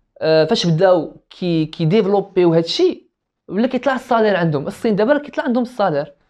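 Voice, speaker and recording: The pitch swings very widely at a fairly quick pace, with hardly any pauses. The background is quiet. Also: man, high pitch for a man. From Morocco. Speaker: business student; podcast guest. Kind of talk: casual chat. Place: home room. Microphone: lapel.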